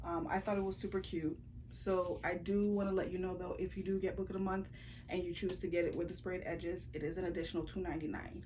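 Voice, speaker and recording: A fairly low-pitched woman's voice with vocal fry and a dark, mellow tone at a fairly quick pace, with audible room echo. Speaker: book vlogger. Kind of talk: casual vlog chat. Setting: bedroom. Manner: fast.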